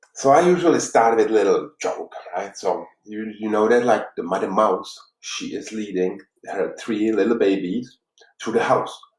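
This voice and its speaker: A man speaks with a Czech accent at a medium pitch. His pitch varies in an ordinary way, and his pace is moderate. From Czech Republic, Prague. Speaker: life coach. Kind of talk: motivational talk. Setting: live stream. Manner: halting.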